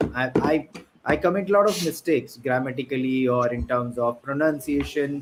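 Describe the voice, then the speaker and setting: A man speaks with an Indian accent at a fairly high pitch. His pace is moderate and his pitch variation ordinary. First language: an Indian language. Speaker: podcast host. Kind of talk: casual chat.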